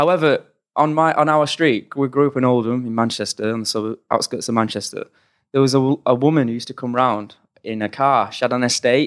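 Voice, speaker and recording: This man uses a normal speaking voice at a medium pitch with fairly even intonation. He talks at a fairly quick pace on a very clean recording with a silent background. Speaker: fight commentator. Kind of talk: casual chat. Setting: recorded in Thailand.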